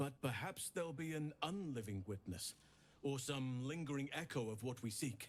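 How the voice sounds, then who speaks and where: A man uses a put-on character voice. His pace is moderate. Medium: video game. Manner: solemn, measured.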